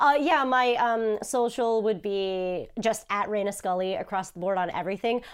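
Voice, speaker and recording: This woman's fairly high voice moves at a moderate pace with ordinary pitch variation and hardly any pauses. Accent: New Jersey. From New Jersey, US. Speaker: voice actor and YouTuber. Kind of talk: casual chat.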